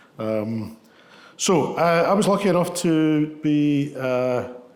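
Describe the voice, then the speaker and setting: A man speaks with a west of Scotland accent and lively intonation, his pitch fairly high. Audible echo fills the room. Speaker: ambulance service medical leader. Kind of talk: lecture. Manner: halting, many fillers.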